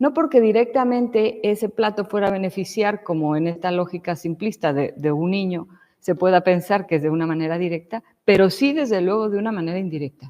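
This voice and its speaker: At a fairly quick pace, a woman with a Mexican accent and a medium pitch speaks with lively intonation. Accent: Mexican, noticeable. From Mexico. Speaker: lecturer. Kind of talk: lecture. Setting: church hall with audience.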